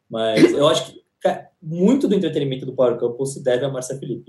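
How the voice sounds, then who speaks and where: Speaking at a very fast pace, a man has a dark, mellow tone and a somewhat breathy voice. His pitch is medium with ordinary variation. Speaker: entertainment podcast co-host. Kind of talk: casual chat.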